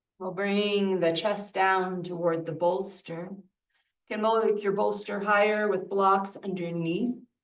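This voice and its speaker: A woman with a soothing tone and medium pitch speaks at a fairly slow pace in a monotone, flat line, with audible room echo. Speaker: yoga teacher. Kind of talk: guided yin yoga class. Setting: yoga studio, livestreamed. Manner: slow, soothing.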